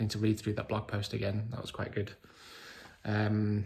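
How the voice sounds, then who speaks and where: A man's fairly low, somewhat breathy voice at a fairly quick pace. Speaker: vlogger with chronic illness. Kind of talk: video diary. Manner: monotone; halting.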